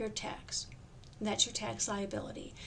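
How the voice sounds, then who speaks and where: Audible room echo around a woman speaking. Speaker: tax course instructor. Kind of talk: recorded lecture. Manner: fast; halting, with many fillers.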